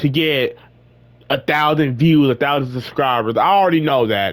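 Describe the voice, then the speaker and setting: With an ordinary speaking voice, a man talks fairly quickly at a fairly high pitch, showing ordinary pitch variation. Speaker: gaming YouTuber. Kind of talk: casual vlog rant.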